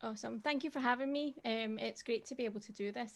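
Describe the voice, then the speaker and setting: Recorded very cleanly against a silent background, a woman with a dark, mellow tone talks at a very fast pace. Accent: Scottish. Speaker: tech advocate. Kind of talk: presentation.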